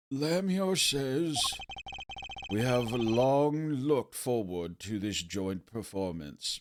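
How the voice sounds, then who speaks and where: A man puts on a character voice with a medium pitch. He speaks at a very slow pace, and his pitch swings very widely. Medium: game stream. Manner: lofty, poetic.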